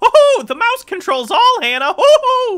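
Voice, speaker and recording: An extremely high, put-on character voice with very wide pitch swings. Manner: jokey, comedic.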